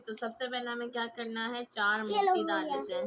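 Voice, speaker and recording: Shouting loudly, a woman projects a bright, sharp tone at a fairly high pitch. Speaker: craft youtuber. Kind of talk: tutorial. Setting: home, siblings in room. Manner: loud, shouting to be heard. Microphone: mic held far away, voice not reaching.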